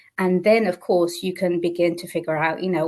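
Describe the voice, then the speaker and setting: A woman speaks in a British accent at a fairly low pitch. Her pace is fairly quick. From Portugal. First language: Portuguese. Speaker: business mentor. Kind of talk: interview.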